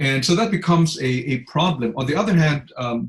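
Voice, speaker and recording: A man speaks with a non-native accent at a fairly high pitch. His voice is somewhat breathy and his intonation lively. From Asia. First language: not English. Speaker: law lecturer. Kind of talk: online tutorial. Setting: video call. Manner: fast; halting, many fillers and repeats.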